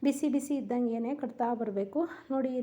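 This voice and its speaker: High-pitched yet dark and mellow in tone, this is a woman's voice. Her intonation is fairly even. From rural Karnataka. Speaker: cooking vlogger. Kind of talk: cooking tutorial.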